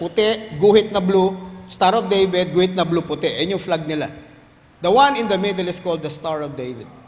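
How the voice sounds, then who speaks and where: A man talks at a moderate pace with ordinary pitch variation. Room echo is audible. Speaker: pastor. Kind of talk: sermon.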